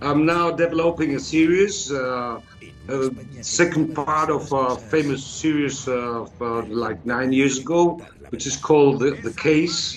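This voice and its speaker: Over music in the background, a man speaks fairly slowly with a fairly high pitch. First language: Spanish. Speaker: actor. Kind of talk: interview. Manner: halting.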